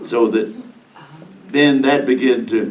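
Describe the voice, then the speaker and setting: A man speaks with an American accent at a fairly slow pace. His intonation is lively, and the room echo is audible. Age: 90s. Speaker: civil rights veteran. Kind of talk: testimony. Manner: halting.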